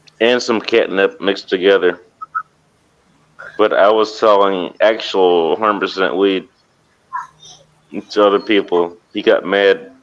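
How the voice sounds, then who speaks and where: A man with a fairly low voice speaks at a fairly slow pace with fairly even intonation and long, frequent pauses. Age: 40s. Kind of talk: casual chat.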